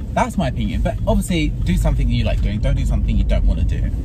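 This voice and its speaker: Loud noise runs through the background. Over it, a man talks. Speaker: vlogger. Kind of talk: casual vlog chat. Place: car. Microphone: phone near.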